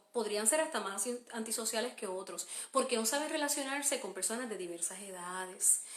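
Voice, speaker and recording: Speech with lively intonation and a Puerto Rican accent. Noticeable background noise and audible room echo come through. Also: woman. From Puerto Rico. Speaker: homeschooling mother and podcaster. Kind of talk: live stream Q&A. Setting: Facebook live stream. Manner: hesitant, many fillers.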